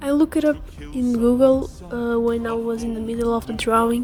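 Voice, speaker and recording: Music plays in the background as a woman speaks at a high pitch. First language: not English. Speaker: artist and animator. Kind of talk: casual voiceover commentary over speedpaint. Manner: hesitant, with fillers and repetitions.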